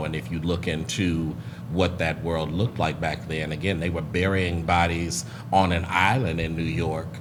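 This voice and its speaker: A man's very deep, low voice at a moderate pace, fairly even in intonation, over noticeable background noise. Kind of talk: group conversation.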